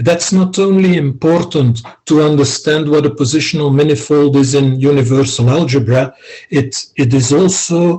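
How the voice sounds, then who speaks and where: A man with a non-native accent speaks at a fairly slow pace in a somewhat breathy voice with fairly even intonation. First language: not English. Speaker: philosophy scholar. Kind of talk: academic discussion. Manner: halting, many fillers.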